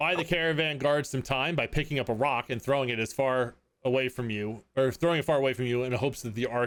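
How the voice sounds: Quiet surroundings behind a natural reading voice.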